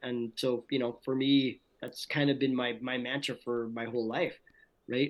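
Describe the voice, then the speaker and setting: A man is speaking. His medium pitch and moderate pace stay consistent. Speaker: voice actor. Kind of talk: interview answer. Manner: casual, enthusiastic.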